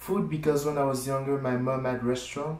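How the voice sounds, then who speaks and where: A man with a French accent and a medium pitch, fairly even intonation, and audible room echo. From France. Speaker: cooking channel creator. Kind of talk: casual self-introduction to camera. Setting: filmed to camera.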